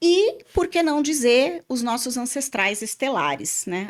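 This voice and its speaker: In a very clean recording with a silent background, a woman talks at a moderate pace with lively intonation and an animated tone. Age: 50s. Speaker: podcast host and spiritual therapist. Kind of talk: casual podcast chat. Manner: talkative, animated.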